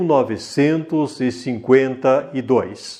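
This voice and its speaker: Against a quiet background, a man talks very slowly in a dark, mellow tone, his pitch fairly high. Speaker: news reporter. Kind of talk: news report narration.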